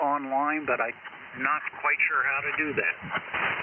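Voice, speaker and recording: Fairly slow male speech amid noticeable background noise. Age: 70s. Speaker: amateur radio operator. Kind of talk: casual chat.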